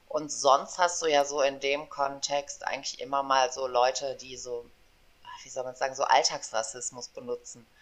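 A woman speaks at a moderate pace with a very deep, low pitch and monotone, flat intonation, her loudness swinging widely. Background noise is noticeable. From western Germany, Aachen. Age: 40s. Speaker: podcast co-host. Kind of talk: casual chat.

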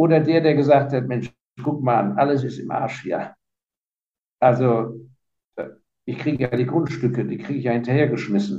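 A man's medium-pitched, somewhat breathy voice with a dark, mellow tone, ordinary pitch variation, a moderate pace, and long, frequent pauses. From Germany (Heidelberg), partly raised in Hong Kong. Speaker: fund manager and investor. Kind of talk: interview.

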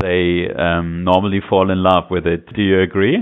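A man with a very deep, low pitch and a German accent, at a fairly slow pace. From Germany. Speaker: podcast host. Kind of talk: interview. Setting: phone call.

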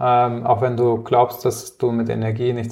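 A man with a medium-pitched, dark, mellow tone speaks at a moderate pace, sounding somewhat breathy. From Palatinate, Germany. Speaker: community founder and keynote speaker. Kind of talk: interview.

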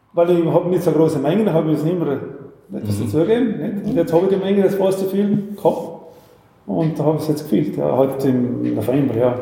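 With audible room echo around him, a man speaks at a very fast pace with lively intonation, broken by long, frequent pauses. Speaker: fruit brandy distiller. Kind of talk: interview with tasting. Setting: on site at his distillery.

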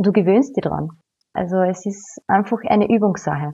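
The tone is dark and mellow. It comes with a Carinthian accent. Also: woman. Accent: Austrian German, Carinthian. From Austria, Carinthia. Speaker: yoga teacher. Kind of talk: casual interview chat.

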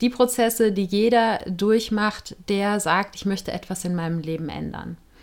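A woman speaks fairly slowly at a medium pitch, in an ordinary speaking voice. Her intonation stays fairly even. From Germany, Cologne. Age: 40s. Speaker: podcast host. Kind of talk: solo podcast monologue.

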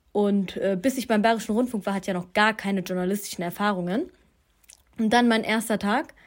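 This woman has an unremarkable speaking voice at medium pitch, with ordinary pitch variation. She talks at a fairly quick pace in a very clean recording with a silent background. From Germany, Duisburg. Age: 20s. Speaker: student and young media presenter. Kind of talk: interview conversation.

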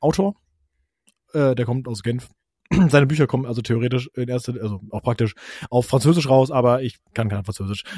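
The man's dark, mellow voice sits at a medium pitch with ordinary pitch variation, in a dry, close sound with no echo. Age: 30s. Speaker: travel podcaster. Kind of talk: casual chat. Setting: remote call.

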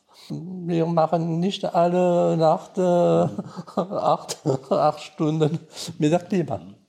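On a very clean recording with a silent background, a man speaks with a fairly high pitch and a dark, mellow tone. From Alsace, France. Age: 60s. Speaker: guesthouse owner. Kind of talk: interview. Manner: halting.

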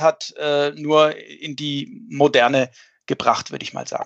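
A man with a fairly high pitch at a moderate pace, an unremarkable speaking voice. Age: 50s. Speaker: fund manager. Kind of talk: podcast discussion.

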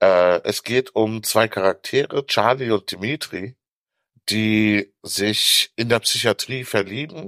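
A man's fairly low voice at a very slow pace, with ordinary pitch variation, in a very clean recording with a silent background and a dry, close sound with no echo. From Africa. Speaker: author. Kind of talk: casual chat.

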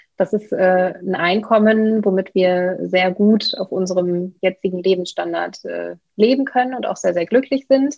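At a fairly slow pace with hardly any pauses, a woman talks in a plain, everyday voice at a medium pitch with ordinary pitch variation. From Germany, Bielefeld (East Westphalia). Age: 30s. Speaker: real estate investor and coach. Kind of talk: interview.

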